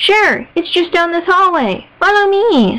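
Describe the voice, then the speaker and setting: A woman puts on a squeaky character voice, pitched extremely high and delivered at a fairly slow pace. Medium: read story. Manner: bubbly, upbeat.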